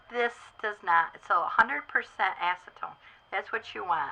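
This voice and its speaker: Bright and sharp is the tone of this woman's voice. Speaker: doll artist making a tutorial video. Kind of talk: tutorial. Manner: casual with many fillers.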